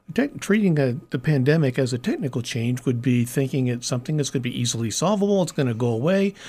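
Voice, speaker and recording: With a Midwestern American accent, the speaker sounds somewhat breathy and uses lively intonation. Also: man. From US Midwest, Kansas City. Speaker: nonprofit strategy consultant. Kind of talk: interview conversation. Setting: studio.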